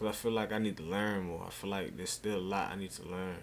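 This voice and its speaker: Soft-spoken and monotone, a man talks at a fairly quick pace in a fairly low pitch, his flat delivery carrying audible room echo. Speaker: streamer. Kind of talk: casual chat. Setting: live stream.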